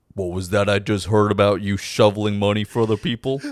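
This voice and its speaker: The speaker puts on a character voice. The pace is very fast. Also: man, fairly low pitch for a man. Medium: actual play. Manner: menacing.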